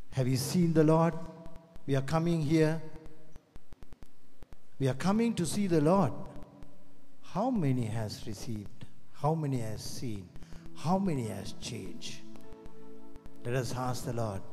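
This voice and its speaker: Somewhat breathy and dark, mellow in tone, a man speaks at a fairly slow pace with very wide pitch swings and long, frequent pauses, amid noticeable background noise. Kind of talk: sermon. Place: hall. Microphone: handheld.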